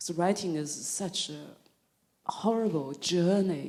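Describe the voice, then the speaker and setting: A woman with a Chinese accent and ordinary pitch variation. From China (Zhejiang, southern China). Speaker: novelist and filmmaker. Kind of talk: author talk. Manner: halting.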